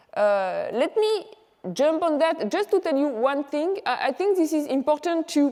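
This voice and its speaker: A woman with a French accent speaks in a dark, mellow tone. Her pace is moderate. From France. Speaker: economics professor. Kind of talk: conference presentation.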